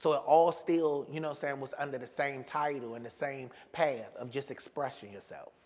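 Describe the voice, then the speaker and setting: A man with a fairly high pitch talks at a moderate pace with hardly any pauses. His loudness swings a lot. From Washington, D.C. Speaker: playwright, comedian and actor. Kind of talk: interview answer. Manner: casual, animated, profane.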